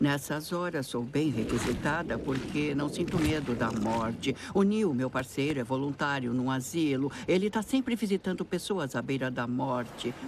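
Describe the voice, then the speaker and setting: A woman's very deep, low pitch with lively intonation, a moderate pace and hardly any pauses, over noticeable background noise. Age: 60s. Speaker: writer. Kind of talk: casual chat.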